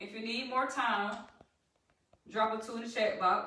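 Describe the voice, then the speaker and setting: A bright, sharp tone in a Southern US accent comes through with audible room echo. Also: woman. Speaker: trading educator. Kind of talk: live-stream tutorial. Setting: live stream. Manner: animated.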